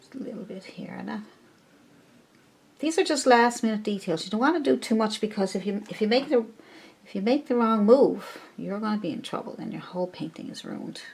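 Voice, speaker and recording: Speaking fairly quickly, a woman shows vocal fry and big swings in loudness. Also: fairly high pitch for a woman, lively intonation. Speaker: painting teacher. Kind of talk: tutorial. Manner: casual and chatty.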